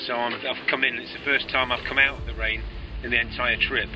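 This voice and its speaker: A man's voice, dry with no echo, with music in the background. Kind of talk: casual video diary. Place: boat. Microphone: phone near.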